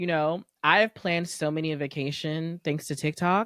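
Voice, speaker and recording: A woman speaks at a moderate pace in an animated tone, her fairly low pitch moving with ordinary variation, the sound dry and close with no echo. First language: not English. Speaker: podcast co-host. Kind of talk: casual chat.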